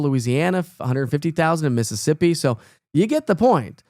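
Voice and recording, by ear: The recording is very clean, with a silent background. A man talks at a fairly quick pace with a fairly high pitch.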